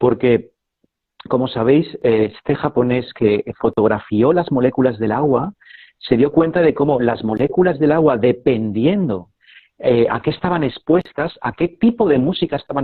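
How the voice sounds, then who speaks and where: A man with an unremarkable speaking voice and medium pitch talks at a moderate pace with lively intonation. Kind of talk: casual live video chat.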